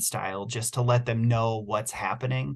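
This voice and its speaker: A man's somewhat breathy voice, medium in pitch, flat and monotone at a fairly quick pace. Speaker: city utility staff presenter. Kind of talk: virtual public meeting Q&A. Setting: video call. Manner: fast.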